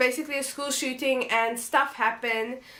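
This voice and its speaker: A woman raises and projects her high-pitched voice. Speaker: book vlogger. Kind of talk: casual book review vlog. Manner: casual, hesitant with fillers.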